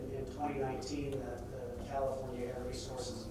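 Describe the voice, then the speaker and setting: Someone with an American accent speaks at a moderate pace amid loud background noise and audible room echo. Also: man. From United States. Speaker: energy consultant. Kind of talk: keynote speech. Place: hall.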